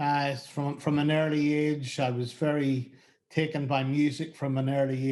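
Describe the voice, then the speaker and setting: A man speaks at a moderate pace with a strong Northern Irish accent. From Northern Ireland. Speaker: music booking agent. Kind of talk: interview. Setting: video call. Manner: halting.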